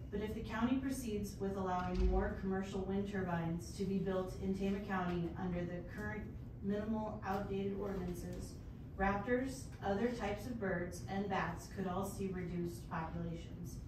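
A woman talks at a moderate pace amid noticeable background noise. Audible room echo surrounds her voice. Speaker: member of the public giving comment. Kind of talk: prepared public comment. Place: meeting room. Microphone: camera far.

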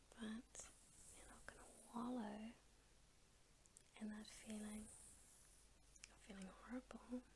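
Noticeable noise sits under a woman's very slow delivery. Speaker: ASMR artist. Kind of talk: ASMR girlfriend roleplay. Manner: gentle, comforting. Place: home room. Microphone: studio mic.

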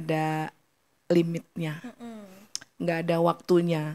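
Speaking at a very slow pace, a woman is heard. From Surabaya, East Java; East Java. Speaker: singer; podcast guest. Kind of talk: casual chat; interview answer. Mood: encouraging, warm advice. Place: studio. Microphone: studio mic.

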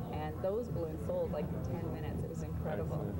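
Very fast speech over loud background noise. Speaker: guest. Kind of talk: interview answer. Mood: upbeat, enthusiastic. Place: cafe. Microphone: lapel.

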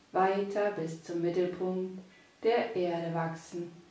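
Her tone is soothing and calm. The woman speaks at a very slow pace with monotone, flat intonation. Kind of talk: guided meditation. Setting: studio, with background music. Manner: slow, soft and soothing, with long pauses; calm, gentle, hypnotic.

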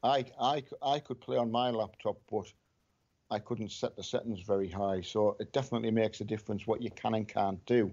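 With a Scottish accent, a man speaks at a medium pitch and a fairly quick pace. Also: ordinary pitch variation. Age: 50s. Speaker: gamer's father. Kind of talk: casual chat.

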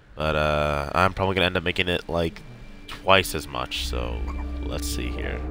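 Over music in the background, a man talks at a moderate pace in a very deep, low pitch with ordinary pitch variation. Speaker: gaming streamer. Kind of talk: let's play commentary. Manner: casual, hesitant with fillers.

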